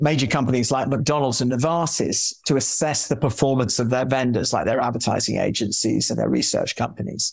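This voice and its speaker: A speaker with a London accent moves at a fairly quick pace with hardly any pauses, fairly even intonation and very even loudness. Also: man. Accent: southern English (London). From London, England. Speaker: marketing executive and author. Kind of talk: casual interview.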